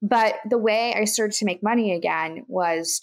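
A woman with an American accent and an ordinary speaking voice talks at a moderate pace with ordinary pitch variation in a very clean recording with a silent background. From Kansas. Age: 20s. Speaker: entrepreneur and podcast host. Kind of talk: interview.

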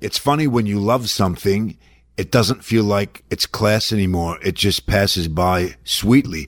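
A man with an Australian accent, fairly low in pitch, at a moderate pace, on a very clean recording against a silent background. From Australia, Melbourne. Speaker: actor. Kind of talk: interview. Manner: candid, profane.

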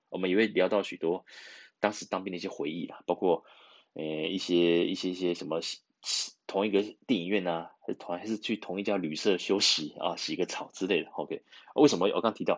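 A man with a very deep, low pitch talks at a fairly quick pace, keeping his intonation fairly even. His loudness swings a lot. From Taiwan. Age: 40s. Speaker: podcast host. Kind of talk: casual chat. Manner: halting, many fillers.

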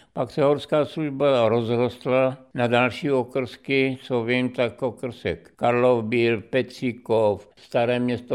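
A man at a medium pitch, speaking at a very slow pace against a quiet background. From Czechia, Olomouc. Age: 90s. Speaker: former ski coach. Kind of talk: radio interview, reminiscing. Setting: radio studio.

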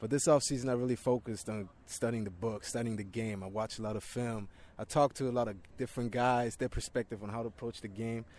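A man's medium-pitched voice races at a very fast pace with fairly even intonation. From Germany. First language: German. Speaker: pro football player. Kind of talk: interview.

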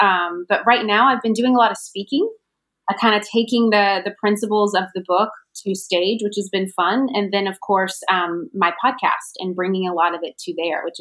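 At a moderate pace, a woman speaks in an unremarkable speaking voice with medium pitch and ordinary pitch variation. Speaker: branding coach. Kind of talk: casual chat.

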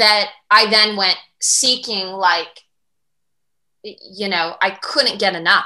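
A woman with medium pitch and a bright, sharp tone speaks at a very slow pace with long, frequent pauses and fairly even intonation. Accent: American. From US Midwest, Michigan. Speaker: cancer survivor and spiritual teacher. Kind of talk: podcast interview, personal story.

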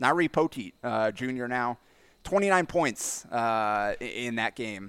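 The speaker is a man. His voice sounds dry and close, without any echo. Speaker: high school sports reporter. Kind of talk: casual chat. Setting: remote recording with headset. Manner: loud.

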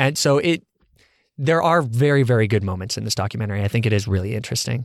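Here a man with an unremarkable speaking voice talks at medium pitch with ordinary pitch variation, in a very clean recording with a silent background and dry, close sound with no echo. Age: 20s. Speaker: podcast host. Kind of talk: casual chat; scripted outro.

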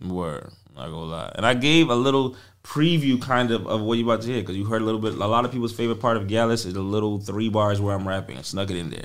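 In a New York accent, the speaker goes at a very fast pace with ordinary pitch variation and audible room echo. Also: man, fairly low pitch for a man. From New York, the Bronx. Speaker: singer-songwriter and producer. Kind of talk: casual interview chat. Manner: animated.

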